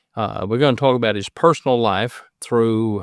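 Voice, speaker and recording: A man speaks with an Appalachian accent at a medium pitch. His pace is fairly slow and his intonation fairly even. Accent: Appalachian Kentucky. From Southeast Kentucky. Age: 60s. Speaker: podcast host and preacher. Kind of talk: casual interview.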